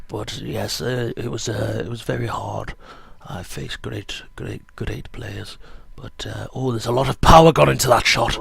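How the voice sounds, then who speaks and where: A man's put-on character voice, very deep, low and raspy, with a pompous tone at a moderate pace over light background noise. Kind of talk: mock TV sports commentary. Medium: comedy sketch. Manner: pompous, rambling.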